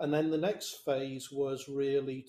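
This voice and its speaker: With a southern English accent, a man speaks at a fairly slow pace and medium pitch, his tone dark and mellow and his intonation fairly even. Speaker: business leader. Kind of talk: panel discussion. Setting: video call.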